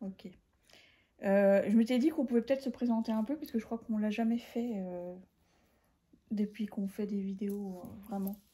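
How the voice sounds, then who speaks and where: The voice is somewhat breathy with a dark, mellow tone, moving at a moderate pace with ordinary pitch variation and long, frequent pauses. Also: woman, fairly high pitch for a woman. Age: 40s. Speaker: podcast host, knitter. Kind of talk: casual chat. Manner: hesitant, many fillers.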